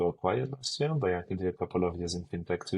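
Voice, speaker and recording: This man has a French accent. His pitch is very deep and low. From France. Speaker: marketing executive. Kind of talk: interview. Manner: hesitant, many fillers.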